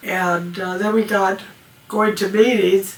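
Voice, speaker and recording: Noticeable background noise sits behind a woman's medium-pitched voice. She speaks at a fairly slow pace with fairly even intonation. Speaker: amateur radio operator. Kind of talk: interview. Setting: at home.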